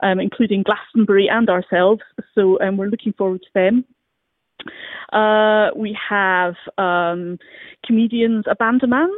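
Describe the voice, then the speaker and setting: With a Scottish accent, a woman speaks at a fairly slow pace with long, frequent pauses and fairly even intonation. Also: medium pitch for a woman, big swings in loudness. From Scotland. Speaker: arts venue programmer. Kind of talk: radio interview.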